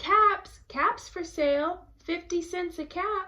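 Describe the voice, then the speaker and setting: A woman speaks in a squeaky, put-on character voice at an extremely high pitch. Her pace is very slow. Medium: read story.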